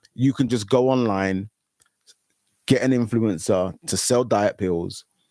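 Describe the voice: In a dry, close recording with no echo, a man with a fairly low pitch and a dark, mellow tone talks at a fairly slow pace with ordinary pitch variation.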